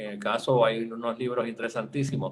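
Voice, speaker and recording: Here a man speaks at a medium pitch and moderate pace. His intonation stays fairly even. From Puerto Rico. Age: 60s. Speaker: politician, former finance secretary. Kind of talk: interview. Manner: hesitant, many fillers and repetitions.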